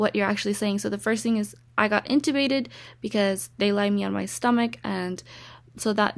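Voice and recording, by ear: Vocal fry runs through fairly quick speech with fairly even intonation. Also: woman.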